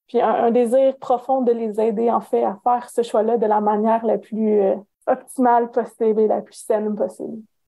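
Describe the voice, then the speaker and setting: A woman speaks in a Canadian French accent at a fairly high pitch. Her intonation stays monotone and flat. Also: moderate pace. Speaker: career counsellor and professor. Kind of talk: interview. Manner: hesitant, many fillers.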